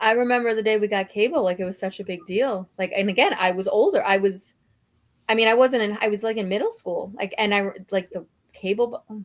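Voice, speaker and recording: Her voice is an ordinary speaking voice, a woman's at medium pitch with fairly even intonation. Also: fairly quick pace. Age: 40s. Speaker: book discussion livestream co-host. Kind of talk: casual chat.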